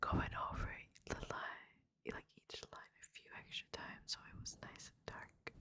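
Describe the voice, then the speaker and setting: A whisper at a fairly slow pace. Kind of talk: ASMR story reading. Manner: whispered.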